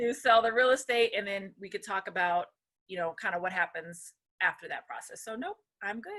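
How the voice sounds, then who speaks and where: A woman with a bright, sharp tone speaks at medium pitch and a fairly quick pace. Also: ordinary pitch variation, big swings in loudness. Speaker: real estate agent and lawyer. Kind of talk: educational interview. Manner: fast.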